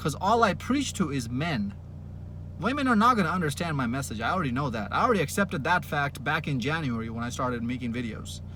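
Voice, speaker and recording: At a very fast pace, a man with a fairly high pitch swings his pitch very widely amid audible room echo. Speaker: dating coach vlogger. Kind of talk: monologue rant to camera. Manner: energetic, yelling at times.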